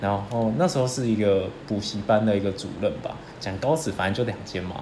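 At a moderate pace, a man with a fairly low pitch speaks through audible room echo and noticeable background noise. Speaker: podcast co-host. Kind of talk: casual chat.

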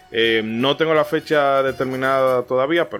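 A man talks at a moderate pace and a medium pitch, his intonation fairly even. Music plays in the background. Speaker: podcast host. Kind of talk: scripted narration; casual chat.

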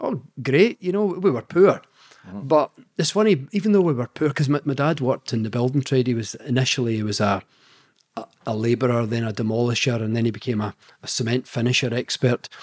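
Speaking at a fairly quick pace, a man with a Scottish accent uses lively intonation. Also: medium pitch for a man, dry, close sound with no echo. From Scotland. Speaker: scientist and author. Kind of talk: interview.

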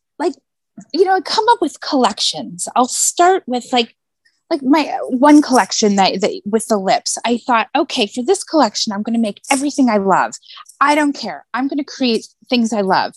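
With an American accent, a woman speaks at a moderate pace in a high voice with very wide pitch swings, the sound dry and close with no echo. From US West Coast (San Diego area). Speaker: glass mosaic artist and designer. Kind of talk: casual chat.

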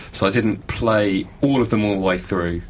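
Noticeable background noise fills the recording. Through it, a man talks in a fairly low voice. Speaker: panelist discussing games. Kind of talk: casual group chat. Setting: radio studio.

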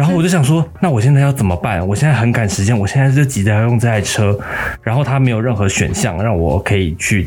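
A man's medium-pitched voice, very fast and lively in intonation, at very even loudness, with music in the background. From Taiwan, Taipei. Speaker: podcast host, news editor. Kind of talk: casual chat.

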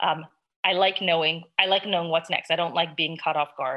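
This woman has a normal speaking voice, pitched fairly low, with fairly even intonation. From US West Coast, Los Angeles. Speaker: interview guest sharing cancer prevention story. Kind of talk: personal testimony interview.

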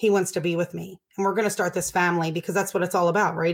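A woman with a medium pitch and an American accent talks in a flat monotone on a very clean recording with a silent background. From Baltimore, Maryland, US. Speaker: addiction recovery nonprofit director. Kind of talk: interview, personal recovery story.

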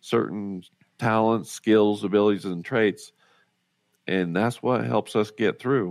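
A man with an American accent talks at a fairly slow pace and a fairly low pitch, keeping his intonation fairly even. The recording is very clean, with a silent background. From rural Utah (Roosevelt). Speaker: author and motivational speaker. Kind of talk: interview, personal story.

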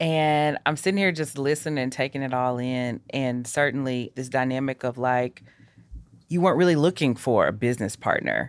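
At a moderate pace, a woman speaks with a very deep, low pitch. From Nashville, Tennessee. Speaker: podcast host. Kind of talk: casual interview. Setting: studio.

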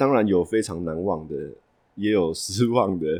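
A man with a Taiwanese accent talks at a moderate pace, his very deep, low pitch showing ordinary variation. The recording is very clean, with a silent background. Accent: Taiwanese Mandarin. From Taipei, Taiwan. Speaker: café owner and moving company worker. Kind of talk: casual interview. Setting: on location in a café.

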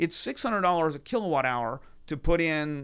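In a very clean recording with a silent background, a man talks with a normal speaking voice at a fairly high pitch. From Texas, Houston. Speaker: venture capitalist. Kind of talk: casual chat. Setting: studio.

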